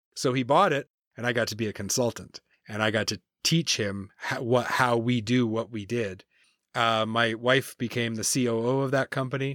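A man with a Canadian accent and an unremarkable speaking voice, medium pitch, fairly even intonation, moderate pace, and a dry, close sound with no echo. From New Brunswick, Canada. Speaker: consultant and podcast host. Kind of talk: interview, life story.

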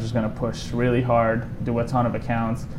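Against noticeable background noise, a man speaks at a medium pitch in a monotone, flat intonation. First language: Italian. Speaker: solar sales rep. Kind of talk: interview.

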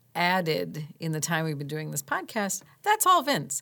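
Her pitch sits fairly low for a woman. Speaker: podcast co-host. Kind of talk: casual chat. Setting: studio. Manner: loud; animated.

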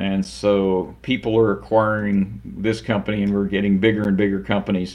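Here a man has a normal speaking voice at a fairly low pitch. He talks at a moderate pace with fairly even intonation and hardly any pauses. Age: 60s. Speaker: automation company president. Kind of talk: interview.

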